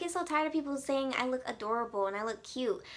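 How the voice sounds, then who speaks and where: A woman speaks in a high, raised and projected voice. Her tone is bright and sharp. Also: very clean recording, silent background. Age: 20s. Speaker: beauty and lifestyle vlogger. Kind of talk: casual chat. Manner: animated.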